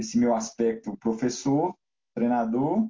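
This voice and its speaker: His voice somewhat breathy, a man speaks with lively intonation. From Minas Gerais, Brazil (Belo Horizonte). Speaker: basketball coach. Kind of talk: interview.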